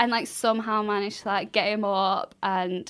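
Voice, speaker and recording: The woman speaks with a Mancunian accent at a medium pitch. The recording is very clean, with a silent background. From Manchester. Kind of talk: casual podcast conversation. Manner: energetic.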